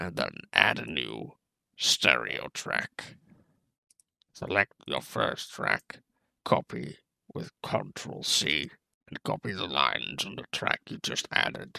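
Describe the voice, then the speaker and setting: A man uses a put-on character voice that is raspy and very deep, at a fairly slow pace. He leaves long, frequent pauses. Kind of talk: tutorial narration in an imitated character voice.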